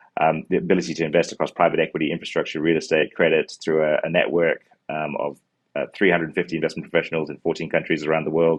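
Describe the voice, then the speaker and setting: A very fast, monotone, flat delivery from a man with a very deep, low voice and a New Zealand accent. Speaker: fund manager. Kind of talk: interview answers. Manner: halting, many fillers.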